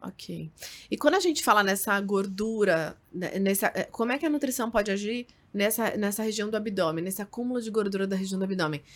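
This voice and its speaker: At a fairly quick pace, a woman uses an ordinary speaking voice of medium pitch with ordinary pitch variation. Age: 30s. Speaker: nutritionist podcast host. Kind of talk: casual interview.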